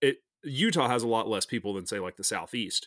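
A man with a normal speaking voice, a medium pitch, and a moderate pace. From US South, North Alabama. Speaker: fly fishing company founder. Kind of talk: casual chat.

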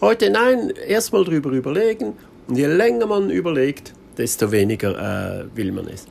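Over noticeable background noise, a man with fairly high pitch and very wide pitch swings talks at a moderate pace. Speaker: podcaster on minimalism. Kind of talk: casual monologue. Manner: spontaneous, with many fillers.

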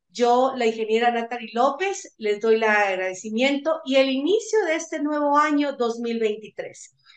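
A woman speaks at a fairly slow pace with hardly any pauses, her high voice carrying lively intonation. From Guatemala. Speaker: university radio host. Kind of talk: radio interview.

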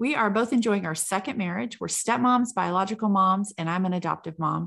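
A woman speaks at a fairly quick pace with a medium pitch and ordinary pitch variation. It is a plain, everyday voice against a quiet background. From California. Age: 40s. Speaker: podcast co-host, salon owner. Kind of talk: casual chat.

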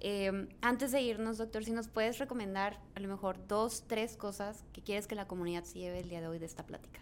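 Her intonation fairly even and her pace fairly quick, a woman speaks in an unremarkable speaking voice at medium pitch. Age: young. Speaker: podcast host. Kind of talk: interview.

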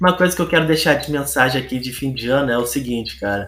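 With music in the background, a man talks in a medium-pitched voice with lively intonation. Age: 20s. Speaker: gaming content creator. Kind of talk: casual monologue podcast.

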